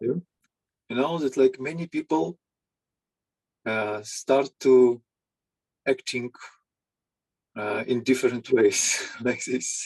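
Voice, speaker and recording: At a very slow pace with long, frequent pauses, a man with a medium pitch and ordinary pitch variation speaks in a dry, close sound with no echo. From Ukraine. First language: Ukrainian or Russian. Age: 50s. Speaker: psychologist. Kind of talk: interview. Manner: halting. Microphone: audio issues.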